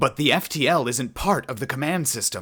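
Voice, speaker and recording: Over a silent background on a very clean recording, a man does a put-on character voice. His pitch is medium and his pace moderate. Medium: read story. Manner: nervous.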